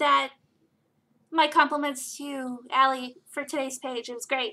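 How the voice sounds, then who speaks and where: A woman with an American accent uses a raised, projected voice in a bright, sharp tone, keeping a moderate pace. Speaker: webcomic creator and livestream co-host. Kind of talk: casual chat. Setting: live stream.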